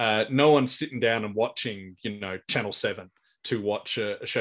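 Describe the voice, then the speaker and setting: With an Australian accent, the speaker keeps a moderate pace and ordinary pitch variation on a very clean recording with a silent background. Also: man. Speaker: stand-up comedian and compere. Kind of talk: casual chat.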